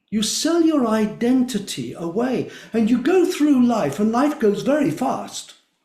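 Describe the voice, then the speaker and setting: A man with an extremely high pitch, a dark, mellow tone and very wide pitch swings speaks at a fairly slow pace with audible room echo. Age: 70s. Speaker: drumming circle facilitator. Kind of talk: interview.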